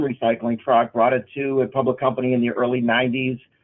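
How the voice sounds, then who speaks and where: A man speaks with a Boston accent. His pitch is medium and his pace moderate. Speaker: recycling company executive. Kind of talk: webinar presentation. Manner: hesitant, many fillers.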